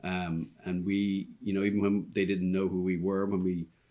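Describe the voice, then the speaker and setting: With an Irish accent, a man speaks at a fairly quick pace in a very deep, low voice with a dark, mellow tone. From Ireland, Dublin. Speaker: restaurant owner. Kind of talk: podcast interview. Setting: restaurant.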